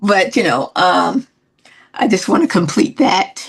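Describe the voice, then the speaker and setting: Speaking slowly in an American accent, a woman uses very wide pitch swings and vocal fry. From Newark, New Jersey. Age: 70s. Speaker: singer. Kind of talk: interview. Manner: halting.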